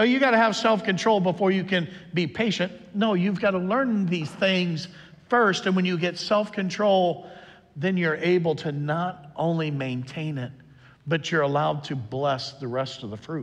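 This man speaks at a moderate pace, his high voice carrying lively intonation. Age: 50s. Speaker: pastor. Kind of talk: sermon. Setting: church. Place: church.

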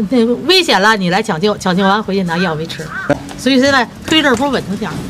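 A woman talks at a very fast pace with a Beijing accent. Noticeable background noise runs behind her. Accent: Beijing Mandarin. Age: 70s. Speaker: retired factory worker. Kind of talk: street interview answer. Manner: cheerful, upbeat. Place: street. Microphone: phone near.

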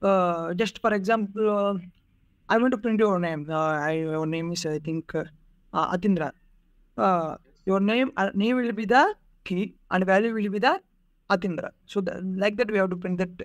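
A man with an Indian accent and a high pitch, moderate pace, ordinary pitch variation and long, frequent pauses, in a dry sound with no echo and a quiet background. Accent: Indian English (Telugu). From India, Andhra Pradesh (Krishna District); Andhra Pradesh, India. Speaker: job candidate; candidate. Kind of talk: mock job interview. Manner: halting, many fillers. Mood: nervous, searching for words. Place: home room. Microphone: video call.

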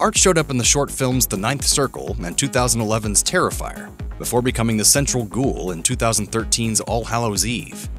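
A man speaks fairly quickly while music sounds in the background. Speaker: voiceover narrator. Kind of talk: entertainment news video narration.

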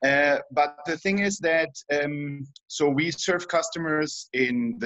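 In a German accent, a man talks at a fairly high pitch with ordinary pitch variation. The sound is dry with no echo, against a quiet background. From Germany. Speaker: industrial lubricant company employee. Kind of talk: webinar question. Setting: video call. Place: home room. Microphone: video call.

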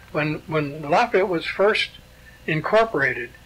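A man with an American accent and a high pitch speaks at a fairly slow pace with ordinary pitch variation, with noticeable background noise behind him. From US Northeast (born Schenectady, New York). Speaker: retired former mayor and local historian. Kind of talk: oral history interview. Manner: halting, many fillers.

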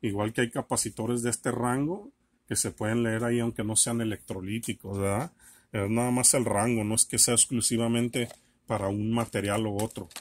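This man's intonation stays fairly even while his pace remains moderate. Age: 40s. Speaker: electronics repair video creator. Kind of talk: tutorial. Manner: halting, many fillers. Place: workshop. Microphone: camera far.

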